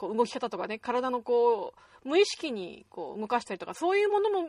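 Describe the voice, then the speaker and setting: A high-pitched woman speaks at a moderate pace with very wide pitch swings, in a dry, close sound with no echo. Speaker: web radio host. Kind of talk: unscripted solo talk. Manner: stumbling over words.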